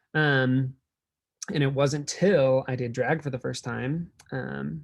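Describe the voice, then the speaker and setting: Here a man speaks with an American accent at a medium pitch. His voice is somewhat breathy. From Nebraska, US Midwest. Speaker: drag performer and keynote speaker. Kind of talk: keynote talk. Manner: casual, filler-heavy.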